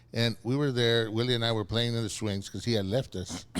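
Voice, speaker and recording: A man with a South Texas accent and a medium-pitched voice, on a very clean recording with a silent background. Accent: South Texas Mexican-American English. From South Texas (Rio Grande Valley). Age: 60s. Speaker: city commissioner. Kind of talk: casual chat. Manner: halting, repeating words.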